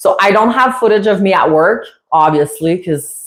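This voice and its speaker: A woman with a French Canadian accent. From Quebec, Canada. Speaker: parrot owner and YouTuber. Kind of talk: casual livestream chat. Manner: halting, many fillers.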